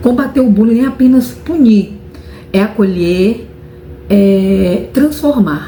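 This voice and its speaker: Over noticeable background noise, a woman speaks very slowly with lively intonation, very even loudness and long, frequent pauses. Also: medium pitch for a woman. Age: adult. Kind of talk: interview answer. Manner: halting, repeats words.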